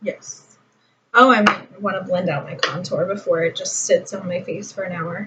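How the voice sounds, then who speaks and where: A woman speaks softly in a somewhat breathy voice. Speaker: beauty vlogger. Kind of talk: makeup tutorial. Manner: soft-spoken; casual, rambling with fillers.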